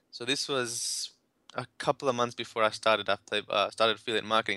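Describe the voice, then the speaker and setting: This man's medium-pitched voice has a bright, sharp tone and moves at a very fast pace. The recording is very clean, dry and close, with a silent background and no echo. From India. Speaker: affiliate marketer. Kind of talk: interview.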